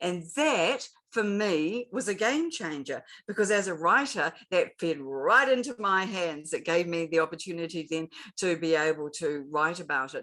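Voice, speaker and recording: This woman speaks at a moderate pace in a New Zealand accent with lively intonation. Her fairly low voice has a bright, sharp tone. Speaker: LinkedIn expert and author. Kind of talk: interview.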